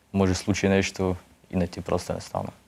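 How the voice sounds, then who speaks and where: A man speaks in a very deep, low pitch. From Bessarabia, southern Ukraine. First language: Russian (speaking Bulgarian). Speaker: soldier. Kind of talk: interview. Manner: halting.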